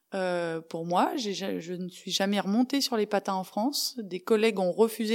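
The clip has a normal speaking voice at a moderate pace with ordinary pitch variation, on a very clean recording with a silent background. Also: woman. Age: 40s. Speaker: former hockey player and international referee. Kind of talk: interview testimony. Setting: studio.

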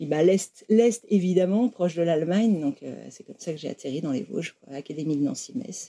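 A woman's fairly low, dark, mellow voice at a fairly quick pace, with lively intonation, big swings in loudness and hardly any pauses. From France, Lyon area. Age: 40s. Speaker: former German teacher, factory worker. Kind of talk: interview testimony. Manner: halting, many repetitions and fillers.

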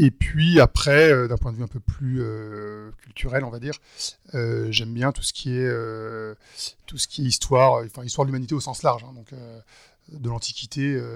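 This man speaks fairly slowly at a medium pitch. The intonation stays fairly even. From western France, Nantes. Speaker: wealth management entrepreneur. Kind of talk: interview conversation. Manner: hesitant, many fillers.

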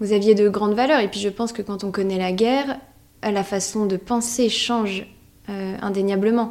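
A woman talks at a moderate pace in a normal speaking voice. Her intonation stays fairly even. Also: medium pitch for a woman. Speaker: podcast host interviewing her great-grandmother. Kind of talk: casual family interview.

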